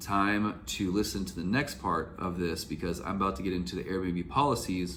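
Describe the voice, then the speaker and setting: At a moderate pace, this voice shows ordinary pitch variation, with audible room echo around it. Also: man. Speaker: YouTuber, real estate investor and Airbnb host advisor. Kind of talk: casual vlog commentary.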